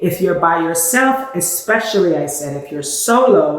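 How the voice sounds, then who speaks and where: In a New York accent, a woman with a fairly low pitch talks at a fairly slow pace, with audible room echo and noticeable background noise. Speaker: travel vlogger. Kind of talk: casual talk to camera.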